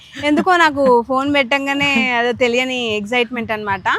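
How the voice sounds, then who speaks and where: A woman's high voice with ordinary pitch variation against noticeable background noise. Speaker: family vlogger. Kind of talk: casual vlog talk to camera. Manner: like a news reader.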